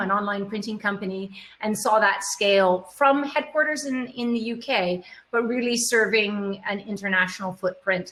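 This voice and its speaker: In a normal speaking voice with a North American accent, the speaker talks at a fairly slow pace with ordinary pitch variation. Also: woman. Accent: North American, could pass for US. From Canada. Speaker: e-commerce executive, panelist. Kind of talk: panel discussion.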